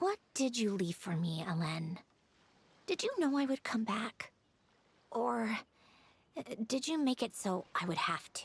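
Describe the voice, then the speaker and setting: A female-sounding, put-on character voice at a fairly high pitch moves at a moderate pace. Long pauses come often. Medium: video game. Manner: dry, detached, self-assured.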